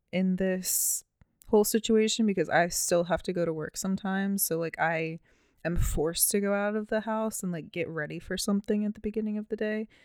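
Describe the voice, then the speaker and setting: A woman with an American accent, medium pitch and moderate pace, an unremarkable speaking voice, on a very clean recording with a silent background. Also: dry, close sound with no echo. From Baltimore, Maryland, US. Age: 20s. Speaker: podcast co-host. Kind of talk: casual chat.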